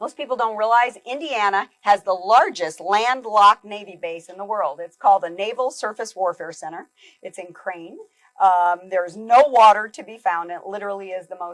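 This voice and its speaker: A woman with an unremarkable speaking voice talks at a moderate pace, medium in pitch with ordinary variation. Her loudness swings widely. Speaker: keynote speaker. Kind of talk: keynote talk.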